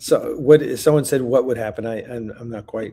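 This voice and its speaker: A man's dark, mellow tone at a moderate pace with fairly even intonation. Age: 60s. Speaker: filmmaker hosting a crowdfunding launch stream. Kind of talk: live stream chat. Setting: on the road, live stream. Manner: halting, many fillers and restarts.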